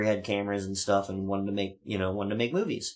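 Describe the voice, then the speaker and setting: A man's voice is heard. Nothing much sounds behind him. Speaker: show host. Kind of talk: casual storytelling chat. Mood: relaxed, joking. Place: studio.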